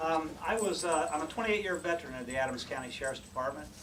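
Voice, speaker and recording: A man with a Midwestern US accent and ordinary pitch variation, with audible room echo and noticeable background noise. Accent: US Midwest. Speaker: sheriff candidate, retired police investigator. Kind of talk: campaign speech. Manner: soft-spoken.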